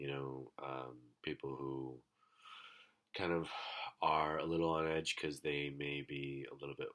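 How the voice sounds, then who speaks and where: With a very deep, low pitch and fairly even intonation, a man speaks at a fairly slow pace. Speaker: vlogger. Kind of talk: casual monologue. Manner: hesitant, many fillers.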